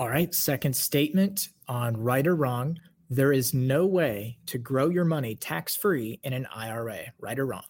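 Somewhat breathy, the voice moves at a fairly slow pace with lively intonation and hardly any pauses. The recording is very clean, with a silent background. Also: man, medium pitch for a man. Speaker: executive producer and co-host, reads quiz statements. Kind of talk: game-show host, reading quiz statements. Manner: bright, energetic, showman-like.

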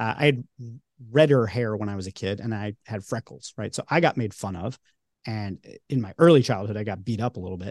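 With a slight New York accent, a man talks at a fairly quick pace and fairly low pitch with ordinary pitch variation, the sound dry and close with no echo against a quiet background. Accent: non-regional, barely New York. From Long Island, New York. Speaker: podcast host and creator, interviewed this episode. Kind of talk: casual interview chat.

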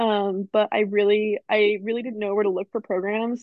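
Fairly quick and fairly even in intonation, a woman uses an ordinary speaking voice at medium pitch. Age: 20s. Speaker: student podcast co-host. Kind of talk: casual chat. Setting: video call.

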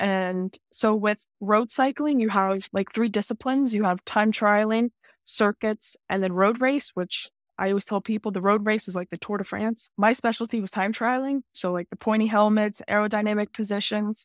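A woman with an American accent uses a normal speaking voice at a fairly high pitch, with fairly even intonation and a moderate pace, in a very clean recording with a silent background and a dry, close sound with no echo. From North Carolina. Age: 20s. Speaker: college student and cyclist. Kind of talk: interview.

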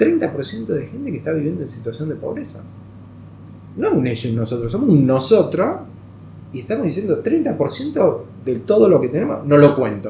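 Room echo is audible as a man talks at a moderate pace. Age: 40s. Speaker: NGO executive director, former hockey player. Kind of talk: interview.

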